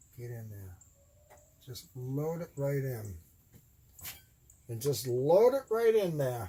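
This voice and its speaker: A dark, mellow, somewhat breathy voice at a very slow pace, with very wide pitch swings, big swings in loudness, and long, frequent pauses. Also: man, medium pitch for a man. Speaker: electronics hobbyist. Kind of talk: tutorial.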